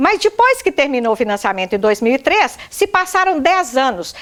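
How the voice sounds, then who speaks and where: A woman with a high voice speaks at a moderate pace, her pitch swinging very widely. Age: 60s. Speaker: widow making a public complaint. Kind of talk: testimony.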